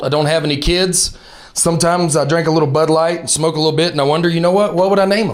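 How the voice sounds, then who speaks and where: A high-pitched man with a Southern US accent, very fast pace and fairly even intonation, over noticeable background noise. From Alabama, Southern US. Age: 30s. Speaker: stand-up comedian. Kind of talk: stand-up comedy set. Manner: fast, high-energy.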